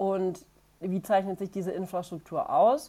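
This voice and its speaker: A woman's fairly slow, medium-pitched voice with a dark, mellow tone. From Franconia, Bavaria. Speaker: cycling agency managing director. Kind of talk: podcast interview.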